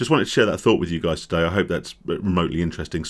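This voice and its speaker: A man rattles along at a very fast pace in a put-on character voice. It is raspy and croaky, pitched very deep and low. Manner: monotone.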